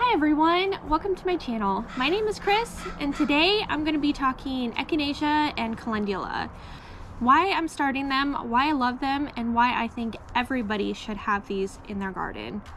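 Over light background noise, a woman speaks at a moderate pace. Her high voice swings very widely in pitch. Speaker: home gardener vlogger. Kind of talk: casual vlog chat. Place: garden. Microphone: phone near.

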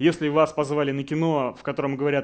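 A man talks at a moderate pace, with the background quiet. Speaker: game design director; conference speaker. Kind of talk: conference talk. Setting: stage with audience. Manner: confident, instructive. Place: hall.

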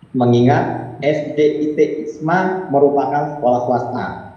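A man speaks with a fairly high pitch. Noticeable background noise and audible room echo fill the recording. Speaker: lawyer. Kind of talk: press release reading. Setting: video call. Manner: formal.

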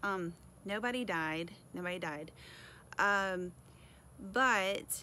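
A woman speaks with a bright, sharp tone and ordinary pitch variation. The sound is dry with no echo, over light background noise. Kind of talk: casual vlog chat. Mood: chatty, slightly apologetic laughter. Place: garden. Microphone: phone near.

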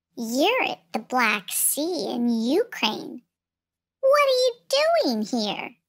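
A put-on character voice that sounds female speaks very slowly at a high pitch. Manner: small and slithery.

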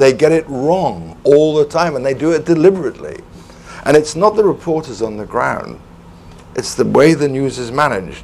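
A man with a Welsh accent talks at a moderate pace and fairly high pitch, his intonation lively, with noticeable background noise. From Wales. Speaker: former foreign correspondent. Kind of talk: panel discussion.

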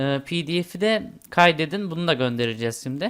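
Fairly slow pace on a very clean recording with a silent background. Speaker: tech tutorial YouTuber. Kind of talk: screen-recorded tutorial. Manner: casual with fillers and hesitations.

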